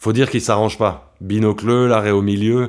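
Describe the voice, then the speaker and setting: Fairly low male speech at a fairly quick pace, with fairly even intonation, on a very clean recording with a silent background. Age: 30s. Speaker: violinist and composer. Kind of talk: autobiographical narration.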